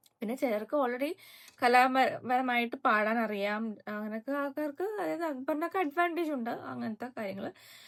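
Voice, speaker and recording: Lively intonation in a woman's high voice. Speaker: YouTube reality-show reviewer. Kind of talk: casual vlog commentary. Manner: animated.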